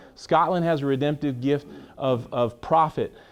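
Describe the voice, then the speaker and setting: A man's passionate, animated tone at a moderate pace over a quiet background. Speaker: pastor. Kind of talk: teaching session. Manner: loud, passionate.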